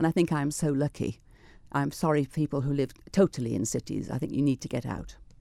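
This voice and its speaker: Talking at a very fast pace, a woman has a dark, mellow tone with vocal fry. The sound is dry and close, with no echo. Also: ordinary pitch variation. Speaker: retired teacher. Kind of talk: radio interview. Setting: studio.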